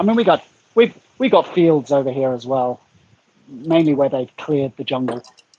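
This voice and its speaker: A man's fairly high voice in an English accent, lively in intonation, at a moderate pace with long, frequent pauses. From England. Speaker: YouTuber guest. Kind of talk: casual chat. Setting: livestream.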